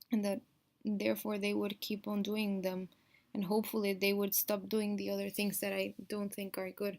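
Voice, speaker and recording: A woman with a Spanish accent speaks at a moderate pace in a medium pitch. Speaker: vlogger, Montessori classroom assistant. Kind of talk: video diary. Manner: halting.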